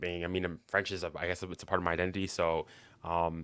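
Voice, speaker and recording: With a Canadian accent, a man speaks in a very deep, low pitch and a bright, sharp tone on a very clean recording with a silent background. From Canada, Manitoba. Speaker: football fan guest. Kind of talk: casual podcast interview. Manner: hesitant, many fillers.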